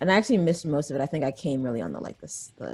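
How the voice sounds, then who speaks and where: An American woman with an American accent speaks in a very deep, low pitch with a dark, mellow tone, a relaxed tone, vocal fry, and lively intonation. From US, raised in DC area from young child. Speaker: musician and filmmaker. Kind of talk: interview. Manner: casual, relaxed.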